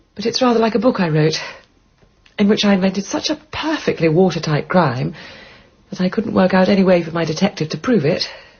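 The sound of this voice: A woman uses a put-on character voice, fairly low in pitch with a husky, rough edge and a slightly mellow tone. She talks at a fairly quick pace with lively intonation.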